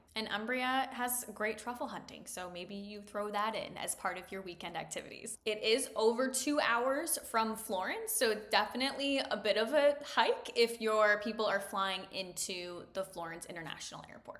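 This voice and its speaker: An upbeat tone at a moderate pace, with hardly any pauses, ordinary pitch variation, big swings in loudness and noticeable background noise. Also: woman, fairly high pitch for a woman. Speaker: destination wedding planner. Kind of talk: vlog-style tutorial. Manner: upbeat, conversational.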